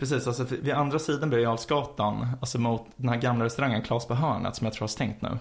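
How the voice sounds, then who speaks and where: Somewhat breathy, a man speaks at a fairly quick pace with hardly any pauses and fairly even intonation. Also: medium pitch for a man. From Sweden, Stockholm. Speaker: podcast co-host. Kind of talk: casual chat. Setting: studio, in person.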